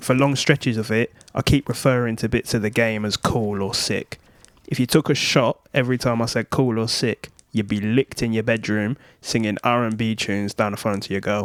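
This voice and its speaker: This man has a medium-pitched, robotic voice, speaking at a fairly quick pace with fairly even intonation in a dry, close sound with no echo. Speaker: YouTuber. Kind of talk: scripted talk to camera. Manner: flat, somewhat robotic delivery.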